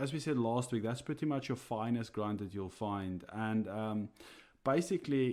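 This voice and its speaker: A man speaks with a South African accent at medium pitch. His pitch variation is ordinary, and the recording is very clean with a silent background. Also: moderate pace. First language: Afrikaans. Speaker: coffee roaster and podcast co-host. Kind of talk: casual podcast chat. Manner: hesitant, many fillers.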